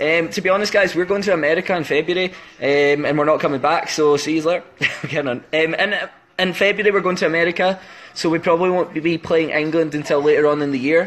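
A man with a Scottish accent speaks in a fairly high voice for a man, his intonation fairly even, with long, frequent pauses. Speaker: band member doing an Instagram live stream. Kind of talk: casual livestream chat answering fan questions. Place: home room. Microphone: phone near.

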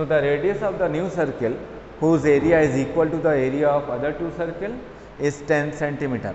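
With an Indian accent, a man speaks fairly quickly at a fairly high pitch with ordinary pitch variation, amid light background noise and audible room echo. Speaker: maths teacher. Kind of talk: lecture. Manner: code-switching Hindi and English. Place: classroom. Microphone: camera far.

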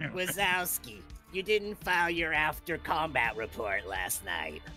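Someone speaks in a put-on character voice at a fairly slow pace. Clear music and clear background noise sit behind the voice. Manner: menacing, scolding.

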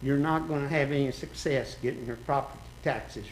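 A man's voice comes with audible room echo. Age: 70s. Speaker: resident speaking at public hearing. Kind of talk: public comment at city meeting. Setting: city commission meeting.

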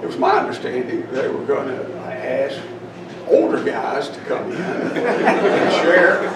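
This man's delivery is very slow. Background noise is noticeable, and echo from the room can be heard. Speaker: speaker. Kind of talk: reflective talk to audience. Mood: humorous, self-deprecating. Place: hall. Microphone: podium.

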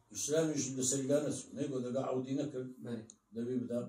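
A man with a Kurdish accent, medium pitch, fairly even intonation and a moderate pace, with audible room echo. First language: Kurdish (speaking Arabic). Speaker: Islamic religious teacher. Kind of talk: lecture.

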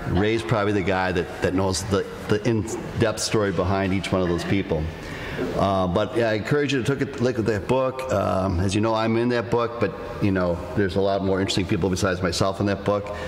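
Fairly low male voice with ordinary pitch variation and very even loudness, against noticeable background noise. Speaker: host. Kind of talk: live podcast talk to audience. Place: hall.

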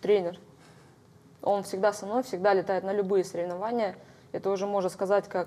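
A woman at a moderate pace, flat and monotone throughout. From Kamchatka, Russia. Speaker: hand-to-hand combat world champion; guest. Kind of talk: studio interview. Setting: TV studio. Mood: calm, slightly reflective. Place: studio. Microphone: lapel.

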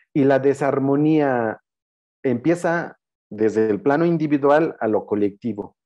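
A man with a Chiapas accent talks at a very slow pace and medium pitch. His pitch variation is ordinary, and the background is quiet. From Tenejapa, Chiapas, Mexico; Chiapas, Mexico. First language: Tzeltal (speaking Spanish). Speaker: anthropologist and spiritual guide; spiritual guide. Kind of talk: lecture. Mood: calm, warm, reflective. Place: home room. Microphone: video call.

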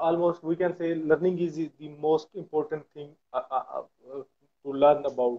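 Pitch barely moves as this man talks, sitting fairly high. He keeps a moderate pace.

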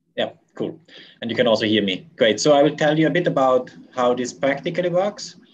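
Speaking at a fairly quick pace, a man with a fairly high voice and vocal fry uses lively intonation. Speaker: conference organizer. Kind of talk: conference announcements. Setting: video call.

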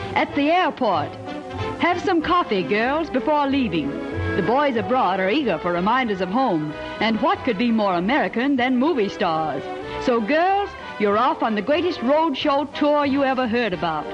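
The voice moves at a moderate pace with very wide pitch swings while clear music plays in the background. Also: man, extremely high pitch for a man. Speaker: newsreel narrator. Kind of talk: newsreel narration. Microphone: old recording.

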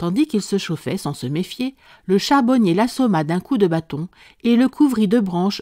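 A woman speaks at a fairly slow pace in a medium-pitched voice with a dark, mellow tone and lively intonation. The recording is very clean and dry, close with no echo, against a silent background. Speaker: audiobook narrator. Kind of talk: scripted narration of a folk tale, read aloud.

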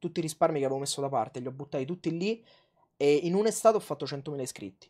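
The voice has a dark, mellow tone and lively intonation. The background is quiet. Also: man. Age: 20s. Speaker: food youtuber. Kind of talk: casual chat. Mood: relaxed, reflective storytelling. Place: home room. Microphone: lapel.

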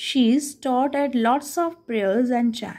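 A woman with an Indian accent, high pitch, and a fairly slow pace against a quiet background. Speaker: teacher. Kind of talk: lesson explaining an English text in Hindi. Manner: reading aloud English passages. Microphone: phone near.

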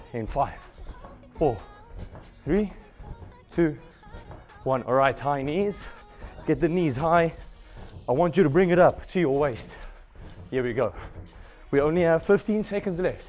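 Faint music plays behind a man who speaks at a fairly slow pace with ordinary pitch variation and long, frequent pauses. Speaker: fitness instructor. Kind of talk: workout class instruction. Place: gym. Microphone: headset.

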